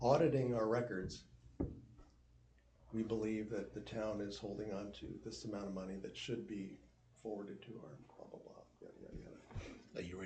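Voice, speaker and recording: A man's fairly low, somewhat breathy voice with an American accent, a dark, mellow tone, big swings in loudness, a moderate pace and long, frequent pauses. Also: ordinary pitch variation. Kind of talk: casual, conversational. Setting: group meeting.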